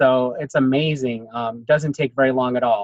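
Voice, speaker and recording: Using an ordinary speaking voice, a man with an American accent talks at a moderate pace with a fairly high pitch and ordinary pitch variation. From United States. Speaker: network marketing consultant, interviewer. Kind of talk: interview.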